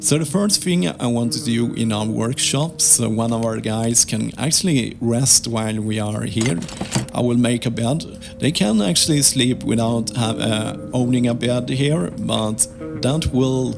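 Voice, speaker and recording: A man talks at a fairly slow pace with lively intonation. There is noticeable background noise. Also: medium pitch for a man. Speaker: gaming video creator. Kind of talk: gameplay commentary. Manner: halting.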